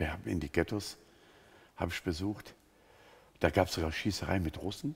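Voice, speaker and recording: A man talks at a fairly quick pace in a very deep, low, somewhat breathy voice with ordinary pitch variation. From Germany, Sinto background. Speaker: pastor and missionary among Roma; pastor. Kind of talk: interview testimony. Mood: earnest, engaged storytelling. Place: studio. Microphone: headset.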